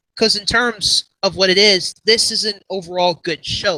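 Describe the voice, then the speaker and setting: A man's raised, projected voice, high-pitched and bright and sharp in tone, with ordinary pitch variation, a fairly slow pace and a dry, close sound with no echo. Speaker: animation youtuber. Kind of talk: casual livestream chat. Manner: halting, filler-heavy.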